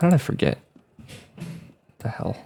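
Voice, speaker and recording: Lively intonation in a man's speech. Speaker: vlogger. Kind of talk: casual monologue. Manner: loud; hesitant, many fillers.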